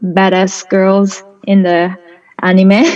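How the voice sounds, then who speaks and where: Very slow speech in a Japanese accent with fairly even intonation. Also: woman. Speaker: artist. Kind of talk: interview. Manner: halting.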